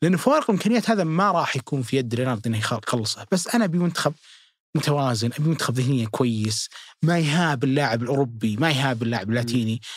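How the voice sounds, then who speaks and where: A man with a Saudi accent, medium pitch, lively intonation, a fairly quick pace and very even loudness. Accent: Saudi Gulf Arabic. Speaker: football pundit. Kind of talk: casual chat.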